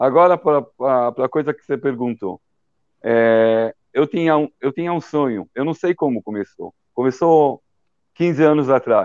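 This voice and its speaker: At a fairly slow pace, a man speaks in a fairly high voice with ordinary pitch variation, the sound dry and close with no echo. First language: Hebrew (speaking Portuguese). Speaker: documentary director. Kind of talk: interview. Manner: halting.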